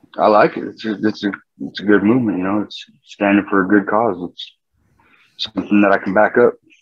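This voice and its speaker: A man with a slight Southwestern US accent speaks at a fairly low pitch and a fairly quick pace. His intonation is fairly even, but his loudness swings widely. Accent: slight southwestern US twang. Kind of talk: casual interview.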